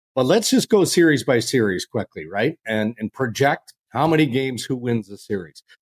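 With a Canadian accent, a man talks at a moderate pace and medium pitch in an unremarkable speaking voice, with lively intonation and hardly any pauses, the sound dry and close with no echo. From Canada. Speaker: podcast host. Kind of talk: casual chat.

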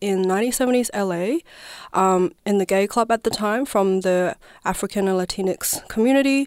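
A woman with a Chinese accent speaks at a medium pitch with ordinary pitch variation, the sound dry and close with no echo. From southwest China. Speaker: dancer and performance artist. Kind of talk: radio interview. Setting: radio studio.

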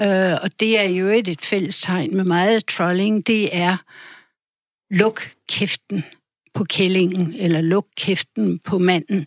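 Speaking at a very slow pace, a woman keeps a medium pitch and fairly even intonation, her sound dry and close with no echo. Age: 70s. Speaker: journalist and author. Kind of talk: radio interview. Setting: studio.

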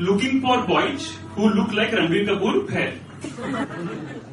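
A man with lively intonation, audible room echo and music in the background. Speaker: struggling actor, storyteller. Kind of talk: live storytelling. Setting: stage with audience.

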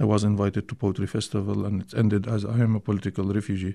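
A man with an Arabic accent at a very fast pace, fairly low in pitch with a dark, mellow tone, against a quiet background. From Syria (Damascus), Palestinian family. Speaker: poet and filmmaker. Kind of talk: radio interview. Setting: radio studio. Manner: halting.

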